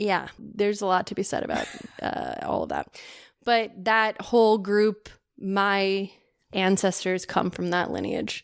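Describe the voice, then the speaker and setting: With an American accent, a woman speaks at a medium pitch and a fairly slow pace, her intonation monotone and flat. The recording is very clean, with a silent background. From California. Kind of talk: casual interview chat.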